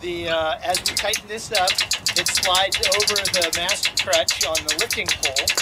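A man's high pitch and fairly even intonation at a moderate pace, with hardly any pauses, over noticeable background noise. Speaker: sailor. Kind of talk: casual how-to explanation.

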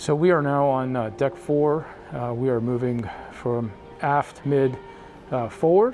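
Faint music plays in the background while a man speaks. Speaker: cruise vlogger. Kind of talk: walking tour commentary. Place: hall. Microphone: phone near.

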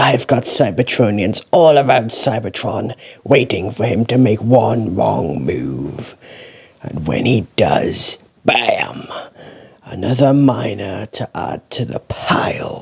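Using a cartoonish character voice, a man speaks in a medium pitch at a fairly slow pace. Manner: arrogant, dismissive, cocky.

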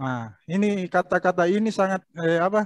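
There is no echo in this dry sound, and the background is quiet. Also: man. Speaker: local history speaker; speaker. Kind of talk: online panel discussion; interview answer. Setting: video call. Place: home room. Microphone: webcam.

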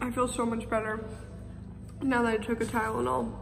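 A woman speaks at a fairly quick pace with very even loudness. Clear music sits in the background. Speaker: vlogger. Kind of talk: casual vlog chat. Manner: sore, stiff-jawed post-surgery speech.

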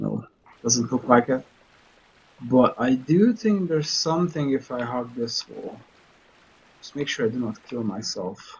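A man at medium pitch with a non-native accent and lively intonation, at a fairly slow pace with long, frequent pauses, over light background noise. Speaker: streamer / let's play gamer; streamer, let's play gamer. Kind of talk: casual gameplay commentary. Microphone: headset.

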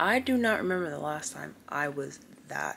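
A woman's weary tone at a very slow pace over light background noise. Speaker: vlogger. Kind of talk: casual vlog chat. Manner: sick, weary morning voice from bed. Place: home room. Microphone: phone near.

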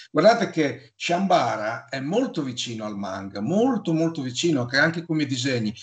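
Over a quiet background, a man talks at a fairly quick pace with a fairly high pitch and very wide pitch swings. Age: 50s. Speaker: YouTuber talking about comics. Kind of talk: casual chat. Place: home room. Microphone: video call.

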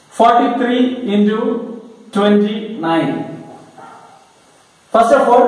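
Strong room echo surrounds a man speaking at a high pitch. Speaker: maths teacher. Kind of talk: tutorial. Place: classroom.

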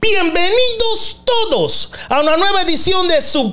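A man speaks in an animated tone. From Panama. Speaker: podcast host. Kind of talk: interview. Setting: studio. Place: studio. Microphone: studio mic.

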